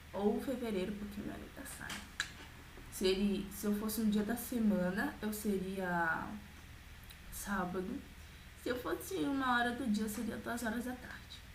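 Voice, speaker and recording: A woman speaks at a fairly slow pace with a fairly high pitch and ordinary pitch variation, leaving long, frequent pauses. The room echo is audible and the background noise is noticeable. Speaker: vlogger. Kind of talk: casual vlog.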